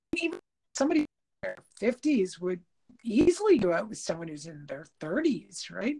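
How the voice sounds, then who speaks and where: Speaking at a moderate pace, a woman has a fairly high pitch and a dark, mellow tone. Her voice carries vocal fry and very wide pitch swings. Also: big swings in loudness. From Quebec, Canada. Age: 50s. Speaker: podcast co-host. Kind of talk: casual chat. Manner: halting.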